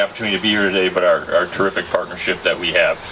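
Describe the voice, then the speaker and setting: A man is speaking. Background noise is noticeable. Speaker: state agency director. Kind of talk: public speech at ceremony. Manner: loud.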